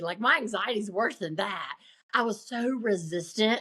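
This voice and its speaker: Her intonation is lively, with a medium pitch for a woman. She speaks at a fairly slow pace. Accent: Southern US. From US South. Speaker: motivational speaker and coach. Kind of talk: interview conversation.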